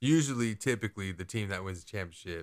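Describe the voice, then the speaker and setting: A man talks in an ordinary speaking voice, fairly low in pitch, with lively intonation and a fairly quick pace. The recording is very clean, with a silent background. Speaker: sports podcast co-host. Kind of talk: casual chat.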